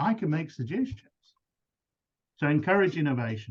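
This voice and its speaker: A man's somewhat breathy, fairly high voice at a fairly quick pace, with very wide pitch swings. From South Africa. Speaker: business coach. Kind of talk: webinar presentation.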